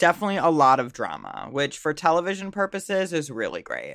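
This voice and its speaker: Silence fills the background of a very clean recording. The delivery comes at a moderate pace. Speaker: podcast co-host. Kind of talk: casual chat.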